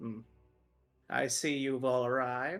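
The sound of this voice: A put-on character voice from a man, shrill yet medium in pitch, at a fairly slow pace over faint music in the background.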